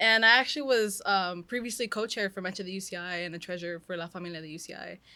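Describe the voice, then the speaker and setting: Very fast and bright with a sharp tone, a woman with an American accent speaks at medium pitch with ordinary pitch variation and big swings in loudness, on a very clean recording with a silent background. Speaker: recent college graduate. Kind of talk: casual interview. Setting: in a clothing store.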